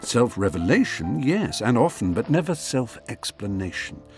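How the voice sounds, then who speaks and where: Music plays in the background as a man speaks. His pitch swings very widely at a moderate pace. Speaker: author. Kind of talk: memoir audiobook reading.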